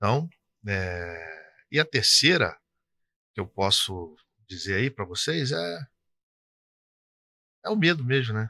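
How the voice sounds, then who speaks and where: A man with a bright, sharp tone speaks at a very slow pace, with long, frequent pauses and very wide pitch swings. The recording is very clean with a silent background, dry and close with no echo. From interior of Rio de Janeiro state, Brazil. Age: 60s. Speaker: tax consultancy business owner. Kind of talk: interview. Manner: casual, conversational.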